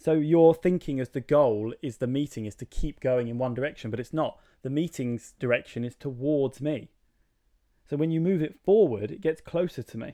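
A man's voice sits fairly high, with ordinary pitch variation. He uses an ordinary speaking voice at a moderate pace. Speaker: podcast co-host. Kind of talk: casual debate chat. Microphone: too close to the microphone.

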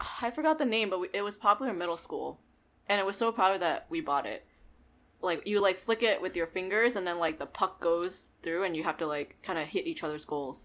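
A woman with an American accent has an unremarkable speaking voice at a medium pitch, talking at a fairly quick pace with lively intonation in a very clean recording with a silent background. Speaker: podcast guest. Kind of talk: casual chat.

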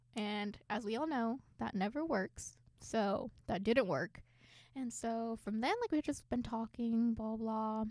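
This woman has an ordinary speaking voice, pitched fairly high with ordinary pitch variation. She talks at a fairly slow pace. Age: 20s. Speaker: podcast co-host. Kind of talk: casual chat. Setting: studio.

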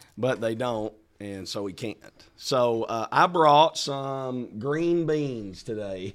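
In a Southern US accent, a man talks at a very slow pace with lively intonation. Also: medium pitch for a man. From Arkansas. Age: 40s. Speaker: pastor and podcast co-host. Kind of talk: casual chat.

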